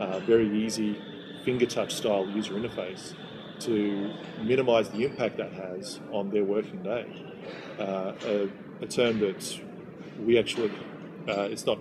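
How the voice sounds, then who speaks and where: Over noticeable background noise, a man talks at a moderate pace with a fairly low pitch. His intonation is monotone and flat, with long, frequent pauses. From Australia. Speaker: software company delivery manager. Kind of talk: interview. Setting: in-person interview in Sydney.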